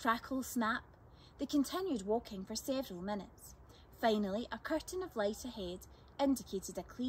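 An unforced reading voice is heard. The reading comes without effort.

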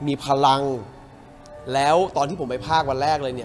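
Faint music plays in the background as a man talks with a fairly high pitch. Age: young. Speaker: actor. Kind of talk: interview answer. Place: hall.

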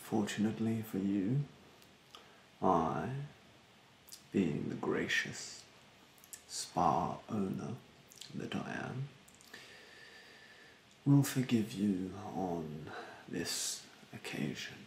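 A man uses a put-on character voice, low in pitch with vocal fry and lively intonation. He speaks at a very slow pace with long, frequent pauses, and room echo is audible.

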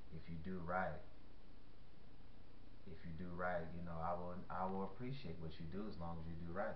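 A man's very deep, low voice at a moderate pace, monotone and flat, with light background noise and audible room echo. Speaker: faith vlogger. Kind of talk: sermon-like vlog talk. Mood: earnest, calm. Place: home room. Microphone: webcam.

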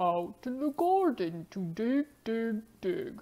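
A woman performs a cartoonish character voice at a fairly high pitch. She talks at a very slow pace with very wide pitch swings. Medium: puppet.

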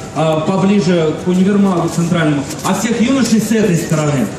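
Over noticeable background noise and audible room echo, a man speaks with ordinary pitch variation. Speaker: lecturer in a theatre performance. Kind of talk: staged public lecture. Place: stage. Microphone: pa.

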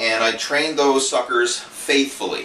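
Over light background noise and with audible room echo, a man talks at a moderate pace. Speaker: fitness coach. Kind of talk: casual vlog chat. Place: office. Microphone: camera far.

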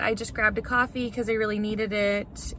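Bright, sharp in tone, a woman's voice comes through a dry sound with no echo. Light background noise sits behind it. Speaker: vlogger. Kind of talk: casual vlog chat. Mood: relaxed, cheerful. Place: car. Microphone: phone near.

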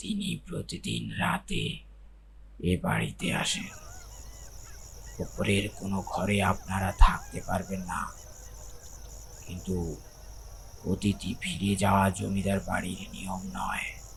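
Someone uses a put-on character voice at a very slow pace over clear background noise. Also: man. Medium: read story. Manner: impassive, flat.

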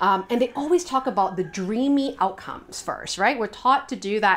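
A woman speaks at a moderate pace in an energetic tone with lively intonation. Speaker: business coach. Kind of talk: video tutorial. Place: home room.

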